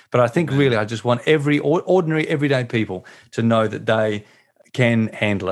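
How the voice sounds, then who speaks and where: Lively intonation from a man with an Australian accent and medium pitch, against a quiet background. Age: 40s. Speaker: pastor and author. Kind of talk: interview.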